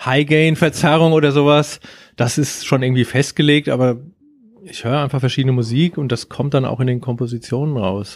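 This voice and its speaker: At a fairly quick pace, a man with a normal speaking voice talks at medium pitch with ordinary pitch variation on a very clean recording with a silent background. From Germany. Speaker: surf band musician and guitar teacher. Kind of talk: casual interview. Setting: studio.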